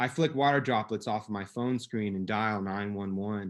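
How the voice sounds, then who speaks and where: In an ordinary speaking voice, a man talks at a moderate speed, his pitch varying in an ordinary way. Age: 30s. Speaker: abuse survivor storyteller. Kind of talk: personal story read aloud.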